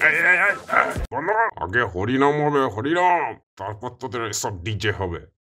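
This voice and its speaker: A man's cartoonish character voice at medium pitch, moderate in pace, with very wide pitch swings. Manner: bossy, gruff.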